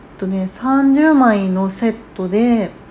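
A woman's fairly high-pitched voice over noticeable background noise. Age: 30s. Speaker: podcast host, mother of three. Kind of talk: casual solo talk. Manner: casual, hesitant with fillers.

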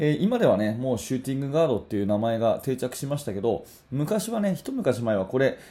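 Dark and mellow in tone, this man's voice sits at a medium pitch. It swings very widely up and down. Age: 40s. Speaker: basketball coach and podcast host. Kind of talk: solo podcast talk. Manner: casual, filler-heavy.

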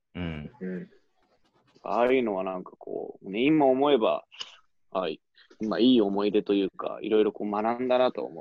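A man speaks at a moderate pace with medium pitch and ordinary pitch variation, with long, frequent pauses and big swings in loudness. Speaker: former study-abroad student. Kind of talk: casual chat. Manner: animated.

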